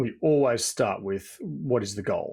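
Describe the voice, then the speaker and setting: On a very clean recording with a silent background, a man with an Australian accent speaks at medium pitch in a dark, mellow tone with ordinary pitch variation. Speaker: executive coach. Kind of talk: podcast interview. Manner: repetitive false starts.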